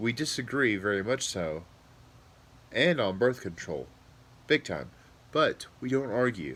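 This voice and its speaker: With vocal fry and lively intonation, a man speaks at a medium pitch. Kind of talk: monologue commentary. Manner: conversational, informal.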